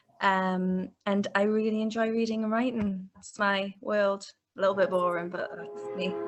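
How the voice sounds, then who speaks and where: A woman with a slight Newcastle accent, medium pitch, moderate pace and fairly even intonation. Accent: Newcastle (Geordie) English, slight. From northern England, Newcastle. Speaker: book editor. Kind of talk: interview.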